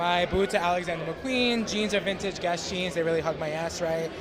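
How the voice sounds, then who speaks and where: With a New York accent, a man speaks at a high pitch with fairly even intonation, amid noticeable background noise and audible room echo. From Brooklyn, New York. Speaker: content creator. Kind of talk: casual chat. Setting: live event.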